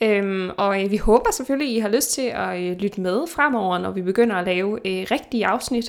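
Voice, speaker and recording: A woman's normal speaking voice at a medium pitch, moderate pace and ordinary pitch variation, with hardly any pauses. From Denmark. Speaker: podcast host, nutritionist. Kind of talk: casual chat. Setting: remote recording.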